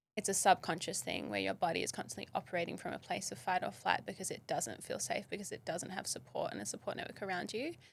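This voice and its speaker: A woman talks at a very fast pace with an Australian accent. She hardly pauses at all. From Western Australia, south of Perth. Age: 30s. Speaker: model and wellness educator. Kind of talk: podcast interview. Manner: casual, frequent 'like' fillers.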